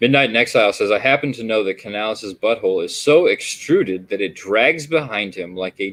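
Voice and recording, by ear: The voice sounds natural. It reads a text aloud.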